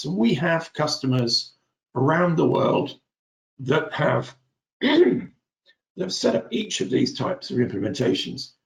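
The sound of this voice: A man puts on a raspy character voice at a fairly high pitch with very wide pitch swings. He keeps a moderate pace broken by long, frequent pauses.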